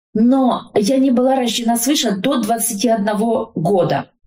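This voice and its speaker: Audible room echo surrounds this recording. A woman speaks at a fairly high pitch. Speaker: social worker and family counselor. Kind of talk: interview about faith and family.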